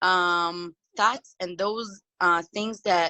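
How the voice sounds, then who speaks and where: Speaking at a very slow pace with a non-native accent, a woman uses a medium pitch with ordinary pitch variation. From Moroccan family background. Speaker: discussion participant. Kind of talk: video call group discussion. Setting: video call. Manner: halting, many fillers.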